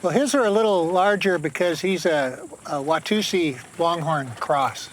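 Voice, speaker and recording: A man speaks at a moderate pace in a high voice with lively intonation, over noticeable background noise. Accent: American. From New York. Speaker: desert homesteader. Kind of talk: casual chat.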